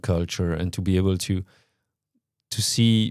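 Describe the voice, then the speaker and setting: On a very clean recording with a silent background, a man speaks with a French accent at a moderate pace. His pitch is fairly low and his intonation fairly even. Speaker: company CEO talking about his leadership. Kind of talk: reflective monologue. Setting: on location in Luxembourg. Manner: halting, many repetitions and fillers.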